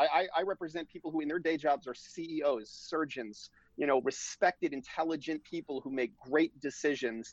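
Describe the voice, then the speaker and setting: With an unremarkable speaking voice, a man talks at a moderate pace in a fairly high pitch, with ordinary pitch variation and hardly any pauses. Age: 40s. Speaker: divorce lawyer. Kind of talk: interview.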